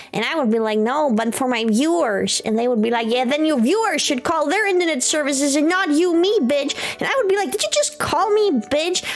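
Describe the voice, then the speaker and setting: Amid noticeable background noise and audible room echo, a woman speaks at a fairly quick pace in a high voice with very wide pitch swings, very even loudness and hardly any pauses. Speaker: vtuber streamer. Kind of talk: casual chat. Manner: fast; animated.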